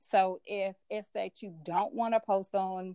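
Against a quiet background, a woman with an American accent and a plain, everyday voice speaks at a fairly slow pace and medium pitch. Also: dry, close sound with no echo. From US South, Memphis, Tennessee. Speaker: business coach. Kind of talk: casual interview.

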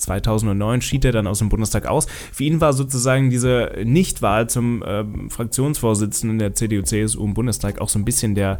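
At a moderate pace, a man speaks in a plain, everyday voice, medium in pitch with ordinary pitch variation. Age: 20s. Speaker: political podcast host and TV editor. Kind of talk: solo podcast monologue on politics.

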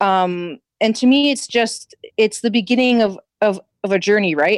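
With a normal speaking voice, a woman talks at a fairly slow pace and fairly high pitch, using lively intonation, in a dry, close sound with no echo. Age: 30s. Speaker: tarot reader and witch. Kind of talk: casual chat.

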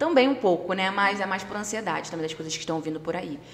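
Noticeable background noise behind a woman's voice of medium pitch. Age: 30s. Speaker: casting producer and singer. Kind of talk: casual chat.

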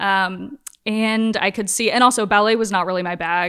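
A woman with an American accent and a bright, sharp tone at a moderate pace, on a very clean recording with a silent background. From US South, Norfolk, Virginia. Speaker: visual artist. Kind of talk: casual chat.

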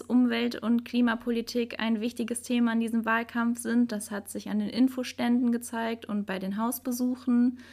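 Speaking at a moderate pace with hardly any pauses, a woman holds a high pitch in a monotone, flat delivery. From Hilden, Rhineland, Germany. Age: 20s. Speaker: local politics volunteer. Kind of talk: panel discussion.

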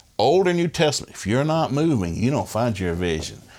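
A man at a fairly quick pace with very wide pitch swings. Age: 60s. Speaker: family ministry speaker. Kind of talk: interview.

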